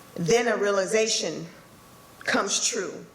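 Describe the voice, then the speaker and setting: A woman speaks at a fairly slow pace with a medium pitch and ordinary pitch variation over noticeable background noise. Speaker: poet performing her own poem. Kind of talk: live poetry reading.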